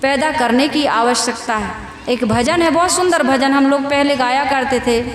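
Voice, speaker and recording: A woman speaks at a high pitch with ordinary pitch variation and very even loudness. Noticeable background noise runs beneath her voice. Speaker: spiritual preacher. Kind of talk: religious sermon to a live audience. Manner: simple, heartfelt.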